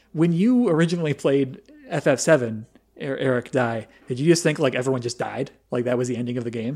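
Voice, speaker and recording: A man talks at a very fast pace at a medium pitch. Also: ordinary pitch variation. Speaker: podcast host. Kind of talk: casual chat. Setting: VoIP call.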